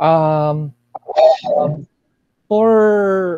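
A man speaks with ordinary pitch variation. The background is quiet, and the sound is dry with no echo. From Milagros, Masbate, Philippines; Philippines. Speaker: writer and poet; poet. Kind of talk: radio interview. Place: home room. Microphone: earbuds.

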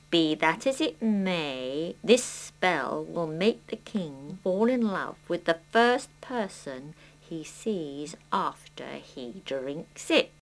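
A cartoonish character voice from a woman at a very slow pace. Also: fairly low pitch for a woman. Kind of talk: children's puppet play. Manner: brisk, dry, businesslike.

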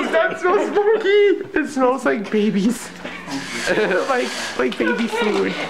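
A man at a very slow pace with long, frequent pauses and loud background noise. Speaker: college student, vlogger. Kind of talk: casual vlog talk to camera. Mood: amused, grossed out. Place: kitchen.

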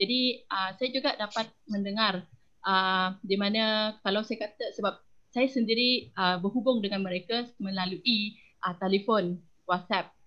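This woman has a normal speaking voice, medium in pitch, talking at a fairly slow pace with fairly even intonation. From Malaysia, Perak (Semai Orang Asli). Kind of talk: online panel discussion.

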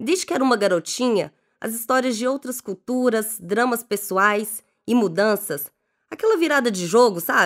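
Using a plain, everyday voice, a woman speaks at a moderate pace with a fairly high pitch and lively intonation. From Belo Horizonte, Minas Gerais, Brazil. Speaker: life coach. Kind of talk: scripted narration.

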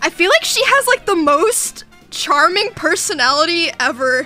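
A woman's raised, projected voice over faint background music. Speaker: livestreamer. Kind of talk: casual stream chat, reading and answering chat. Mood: amused, laughing, a bit defensive. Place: home room.

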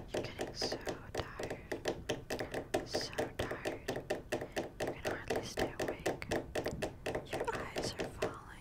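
A woman whispers, leaving long, frequent pauses. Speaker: ASMR creator. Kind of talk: soft ASMR sleep hypnosis talk. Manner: slow sleepy ASMR whisper. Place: home room. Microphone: studio mic.

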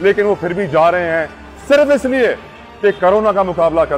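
The voice belongs to a man. Faint music can be heard behind him. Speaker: news reporter. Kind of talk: news report to camera. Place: street. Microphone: lapel.

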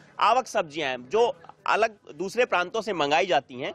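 The man's voice is high-pitched with a fairly bright tone, set at a moderate pace in a dry, close sound with no echo.

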